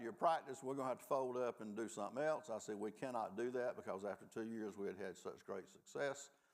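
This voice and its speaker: A man with a Southern US accent races along at a very fast pace with hardly any pauses, his medium-pitched voice animated and showing ordinary pitch variation. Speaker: law professor, restorative justice program director. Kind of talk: panel discussion. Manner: folksy, animated storytelling.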